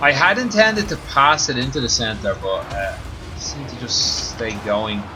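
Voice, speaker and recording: With a Dublin accent, a man talks at a moderate pace, his loudness swinging widely, over noticeable background noise and audible room echo. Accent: Dublin accent, drops middle T. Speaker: gaming streamer. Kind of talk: live gameplay stream commentary.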